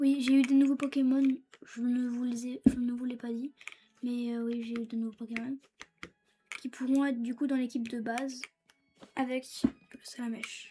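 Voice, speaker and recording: At a moderate pace, a woman speaks with a high pitch and monotone, flat intonation, leaving long, frequent pauses. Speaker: gaming YouTuber. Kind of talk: gameplay commentary. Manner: halting.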